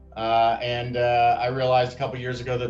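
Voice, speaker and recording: A medium-pitched man with an American accent, music in the background and audible room echo. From US Northeast (small town in Maine). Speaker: company founder. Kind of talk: interview testimonial. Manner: hesitant, many fillers and repetitions.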